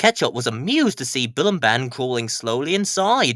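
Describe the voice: The clip features plain reading aloud.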